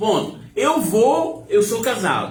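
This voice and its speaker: Music plays in the background with audible room echo. A man speaks in a high pitch with very wide pitch swings. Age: 70s. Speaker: religious live-stream host. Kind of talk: informal preaching talk on a live stream. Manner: animated.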